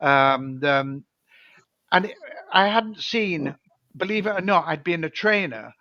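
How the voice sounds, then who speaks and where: A high-pitched man in a British accent, bright and sharp in tone, with lively intonation, a fairly slow pace and long, frequent pauses. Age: 70s. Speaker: former dolphin trainer and author. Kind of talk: casual chat. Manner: halting.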